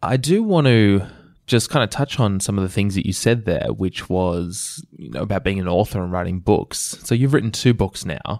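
A man with an Australian accent speaks at a moderate pace and fairly low pitch, his intonation lively, on a very clean recording with a silent background. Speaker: podcast host, digital strategist. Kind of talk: interview conversation.

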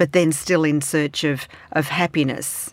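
The recording is very clean, with a silent background. A woman speaks at a fairly slow pace in an Australian accent. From Australia, Melbourne. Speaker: foreign affairs columnist. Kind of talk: panel discussion.

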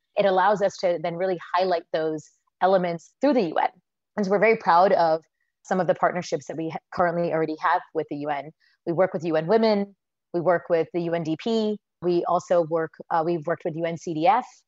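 An unremarkable speaking voice from a woman with an American accent, fairly low in pitch, at a moderate pace with fairly even intonation. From United States. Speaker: social enterprise founder. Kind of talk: interview answers.

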